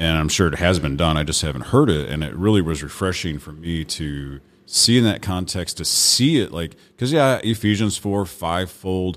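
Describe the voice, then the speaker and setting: A man's very deep, low voice comes through with vocal fry. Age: 40s. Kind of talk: casual chat. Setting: studio.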